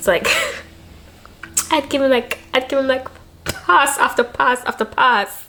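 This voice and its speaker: A woman with a high pitch projects a raised voice in an animated tone, with ordinary pitch variation. She goes at a fairly slow pace with long, frequent pauses. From Jamaica. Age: young. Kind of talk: casual talk to camera. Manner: chatty, animated.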